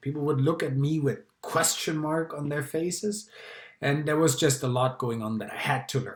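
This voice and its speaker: This man has a German accent and a fairly high, somewhat breathy voice. His pitch varies in an ordinary way. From Germany. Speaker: public speaking club member. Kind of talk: personal talk to camera.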